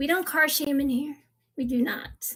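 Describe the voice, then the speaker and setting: An animated tone with ordinary pitch variation at a moderate pace. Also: woman. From US East Coast, Virginia Beach. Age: 40s. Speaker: live-stream seller of diecast cars. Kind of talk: live-stream sales chat.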